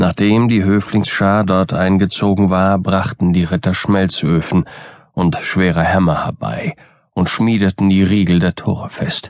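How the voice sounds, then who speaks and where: A man delivers his lines in a theatrical tone with a very deep, low pitch. His pace is fairly slow and his intonation fairly even. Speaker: audiobook narrator. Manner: formal, literary and theatrical, building dread.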